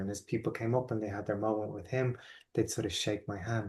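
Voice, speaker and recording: Against a quiet background, a man with an Irish accent sounds somewhat breathy, his intonation fairly even. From Ireland. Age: 40s. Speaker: life coach. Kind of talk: online workshop talk. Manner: hesitant with repetitions.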